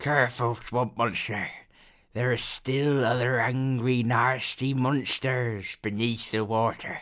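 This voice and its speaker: In a croaky, put-on character voice, the speaker delivers monotone, flat intonation at very even loudness. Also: man, medium pitch for a man, fairly slow pace. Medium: read story. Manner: refers to himself in the third person; mutters, broken simple grammar.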